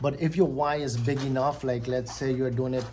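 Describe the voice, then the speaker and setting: Fairly quick speech from a man at medium pitch, fairly even in intonation, over noticeable background noise. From Guyana. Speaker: vlogger. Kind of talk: motivational talk. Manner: casual, hesitant with many ums.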